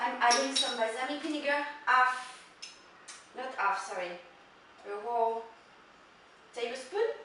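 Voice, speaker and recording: A woman's raised, projected, high-pitched voice in a French accent, fairly slow with long, frequent pauses, amid audible room echo and noticeable background noise. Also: ordinary pitch variation. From Italy. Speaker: chef. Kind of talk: cooking tutorial; video sign-off. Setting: home kitchen. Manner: animated.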